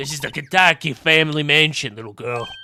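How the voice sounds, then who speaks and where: A man's husky put-on character voice, fairly high for a man, at a fairly quick pace. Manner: gruff, dismissive.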